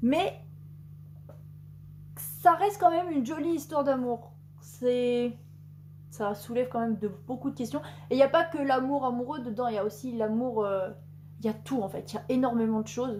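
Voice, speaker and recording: A woman speaks at a high pitch with very wide pitch swings. Her delivery has long, frequent pauses. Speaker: booktuber. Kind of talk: casual chat. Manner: fast.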